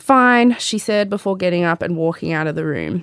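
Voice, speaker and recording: A woman with an Australian accent talks fairly quickly at a fairly low pitch with ordinary pitch variation, in a dry, close sound with no echo. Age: 30s. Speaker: podcast host and memoir author. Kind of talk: reading aloud from memoir; casual chat with mum. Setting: studio.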